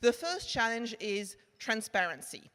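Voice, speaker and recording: With a French accent, a woman talks at a moderate pace in a fairly high pitch. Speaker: marketing tech executive. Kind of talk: conference presentation. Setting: stage with audience.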